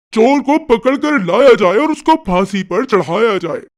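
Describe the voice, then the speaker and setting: A man uses a put-on character voice pitched extremely high. He talks at a moderate pace. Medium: read story. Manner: imperious, blustering.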